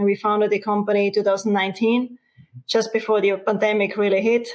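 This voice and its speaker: A woman with an Austrian accent talks at a very fast pace in a medium pitch, with monotone, flat intonation and very even loudness. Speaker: company co-founder. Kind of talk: interview.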